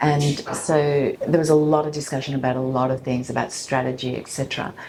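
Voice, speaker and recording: A woman talks with an Australian accent at a moderate pace. Her pitch is very deep and low. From Sydney, Australia, of Colombian heritage. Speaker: coffee company founder, former journalist. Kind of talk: interview answer.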